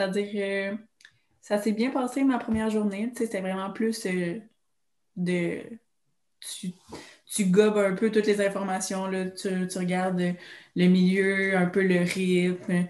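Pausing long and often, a woman speaks at a very slow pace and a medium pitch. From Quebec, Trois-Rivières. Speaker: occupational therapy student. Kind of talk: casual chat.

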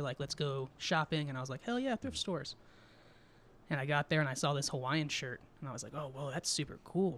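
Speaking at a fairly quick pace, a man with a normal speaking voice and an American accent keeps a fairly high pitch. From Southern California desert (Twentynine Palms area). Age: 20s. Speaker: stand-up comedian. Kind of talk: casual chat.

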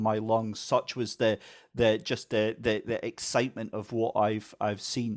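A man at medium pitch with a Scottish accent, moderate pace, very clean recording and silent background. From Scotland. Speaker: motorsport commentator. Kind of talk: casual chat.

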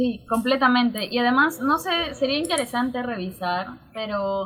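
A woman with an unremarkable speaking voice, at a fairly slow pace and with ordinary pitch variation. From Peru, Juliaca (Puno). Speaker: sociologist and university lecturer. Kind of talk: interview conversation.

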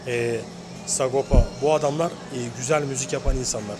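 Noticeable background noise sits behind a man speaking at a moderate pace. His medium pitch shows ordinary pitch variation. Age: 40s. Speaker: rapper. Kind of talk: interview. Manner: halting.

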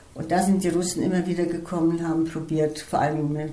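A woman's fairly low voice at a moderate pace, with audible room echo and noticeable background noise. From Estonia, German-speaking minority, then Germany. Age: 80s+. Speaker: retired flute teacher. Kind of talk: life story interview.

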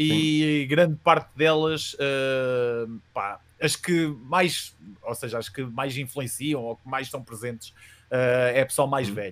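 Speaking at a very slow pace with a European Portuguese accent, a man of medium pitch shows ordinary pitch variation. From Portugal, Coimbra. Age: 30s. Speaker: youtuber and metal band vocalist. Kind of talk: casual interview.

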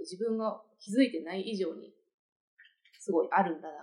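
A woman's medium pitch in a dark, mellow tone, with a Kansai accent. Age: 30s. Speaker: podcast co-host. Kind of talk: casual chat.

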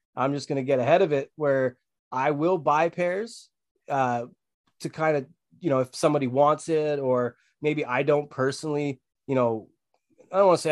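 In a Canadian accent, a man with a normal speaking voice and fairly high pitch talks at a moderate pace with ordinary pitch variation, the sound dry and close with no echo. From Ontario, Canada. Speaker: sneaker and hat brand owner. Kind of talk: casual chat.

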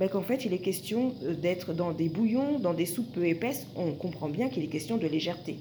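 This woman talks at a fairly quick pace with lively intonation. Noticeable background noise runs underneath. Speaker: spiritual wellness podcaster. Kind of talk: casual monologue.

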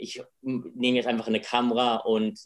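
A man speaks at a medium pitch. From England. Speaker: filmmaker. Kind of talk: interview.

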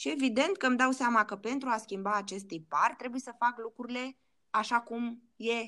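A woman with a fairly high pitch and a bright, sharp tone, captured in a very clean recording against a silent background. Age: 40s. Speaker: life coach. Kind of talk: interview.

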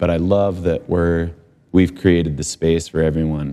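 Speaking with an American accent, a man uses a very deep, low pitch, a dark, mellow tone and monotone, flat intonation. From Utah. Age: 40s. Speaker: professional snowboarder. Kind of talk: interview. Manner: halting.

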